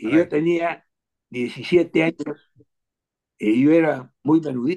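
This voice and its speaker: This man has a dark, mellow tone and a fairly high pitch with ordinary variation. He talks at a very slow pace, and the sound is dry and close with no echo. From Peru. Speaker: football historian and collector. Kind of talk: interview.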